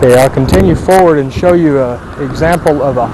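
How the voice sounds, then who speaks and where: Moderately paced speech from a man amid noticeable background noise and audible room echo. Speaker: pavement engineer surveying a test section. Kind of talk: field survey narration. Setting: outdoors on a highway shoulder. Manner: halting, many fillers.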